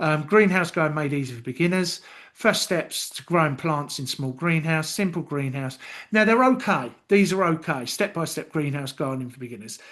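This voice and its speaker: A man with a London accent speaks at a moderate pace. The background is quiet. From London, England. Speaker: YouTube content tutor. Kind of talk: screen-share tutorial. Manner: casual with many fillers.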